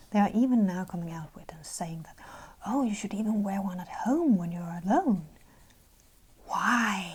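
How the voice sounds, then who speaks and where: Someone is whispering, soft-spoken, with noticeable background noise. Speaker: ASMR colouring video creator. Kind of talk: ASMR-style soft-spoken commentary while colouring. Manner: soft-spoken, whispery.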